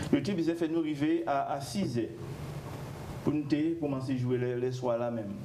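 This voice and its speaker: Noticeable background noise fills the clip. A man talks, leaving long, frequent pauses. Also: fairly high pitch for a man, ordinary pitch variation, moderate pace. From Guadeloupe. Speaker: musician. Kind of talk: TV interview. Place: studio. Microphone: lapel.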